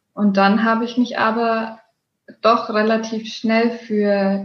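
A woman speaks very slowly in a fairly high, somewhat breathy voice with monotone, flat intonation. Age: 20s. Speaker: yoga teacher and blogger. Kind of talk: podcast interview.

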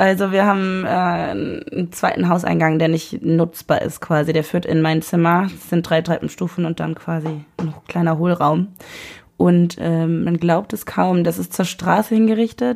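A woman talks at a fairly slow pace and a fairly low pitch. Her intonation is fairly even. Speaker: podcast guest. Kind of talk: casual chat. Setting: home room recording.

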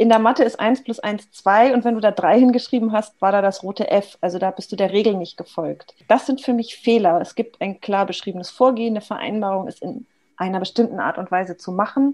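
A woman's ordinary speaking voice, fairly high in pitch, with ordinary pitch variation, a fairly quick pace and hardly any pauses. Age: 40s. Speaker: agile coach. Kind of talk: casual interview chat.

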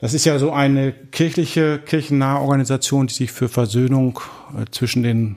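A man in a plain, everyday voice talks at a moderate pace with fairly even intonation, recorded very cleanly against a silent background. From Dortmund, Germany. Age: 40s. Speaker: pastor. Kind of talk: interview.

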